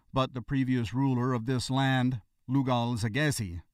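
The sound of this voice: Quiet background behind an unforced reading voice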